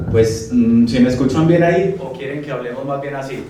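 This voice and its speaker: Over noticeable background noise and audible room echo, a man with a Bogotá accent talks with ordinary pitch variation. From Colombia, Medellín (paisa). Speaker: architect and history lecturer. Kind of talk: lecture. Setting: live audience at a talk.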